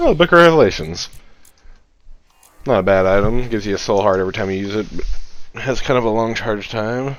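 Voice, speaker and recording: With music in the background, a man talks fairly quickly at medium pitch. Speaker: gaming YouTuber. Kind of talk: let's play commentary. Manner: casual, rambling with fillers.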